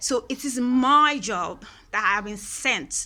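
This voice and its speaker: A woman with a Nigerian accent speaks in an animated tone. Her pitch varies in an ordinary way. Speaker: queer rights vlogger. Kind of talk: personal monologue.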